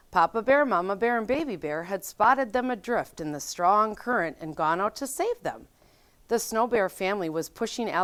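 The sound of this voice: Lively intonation from an unforced reading voice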